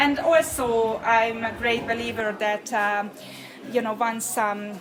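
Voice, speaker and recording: Noticeable background noise runs through the clip. A woman talks at a fairly high pitch. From Hungary. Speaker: picture framer and embroidery artist. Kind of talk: interview answer.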